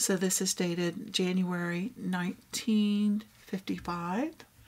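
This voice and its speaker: In a Texas accent, a woman speaks at medium pitch with ordinary pitch variation. Her voice is somewhat breathy. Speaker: craft vlogger. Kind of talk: casual show-and-tell. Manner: animated.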